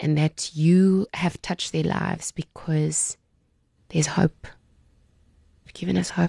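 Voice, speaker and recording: The voice is dark, mellow and somewhat breathy, moving at a fairly slow pace with flat, monotone intonation and long, frequent pauses, recorded dry and close with no echo. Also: woman, very deep, low pitch for a woman. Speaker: parenting podcast host. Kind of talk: interview; scripted narration. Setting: studio.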